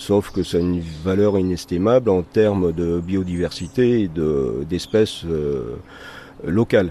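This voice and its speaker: A man speaks in a very deep, low voice. His pace is very slow. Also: ordinary pitch variation. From northern France, Valenciennes area. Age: 60s. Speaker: nature guide and bird protection volunteer. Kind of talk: interview. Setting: at his home garden. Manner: halting.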